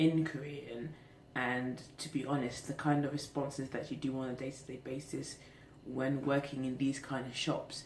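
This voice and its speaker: A woman's very deep, low voice, flat and monotone, at a moderate pace amid audible room echo. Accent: British. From England. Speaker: vlogger. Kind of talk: casual vlog monologue. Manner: hesitant, many fillers.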